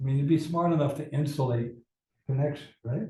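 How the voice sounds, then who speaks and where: A man with an American accent talks at a fairly quick pace, his fairly high-pitched voice somewhat breathy with a dark, mellow tone. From New York City. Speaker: amateur radio operator and physicist. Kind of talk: club presentation talk.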